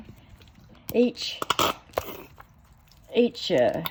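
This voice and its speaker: A woman's voice with ordinary pitch variation, against noticeable background noise. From North Carolina, USA. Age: old. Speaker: home cook, farmer's wife. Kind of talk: casual cooking demonstration. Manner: spunky, vibrant.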